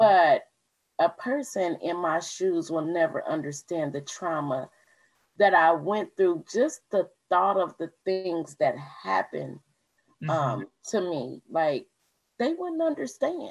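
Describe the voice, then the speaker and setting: A woman speaks at a fairly slow pace with long, frequent pauses. Her pitch is fairly low and her intonation lively. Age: 40s. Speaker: graphic designer and trauma survivor. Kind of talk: testimony. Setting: video recording.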